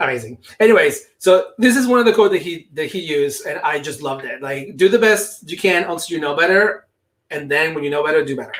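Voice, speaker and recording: Very fast and high-pitched, a man speaks with a non-native accent and lively intonation. His loudness swings widely. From outside the US. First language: not English. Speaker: ed tech specialist, conference presenter. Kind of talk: presentation. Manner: halting.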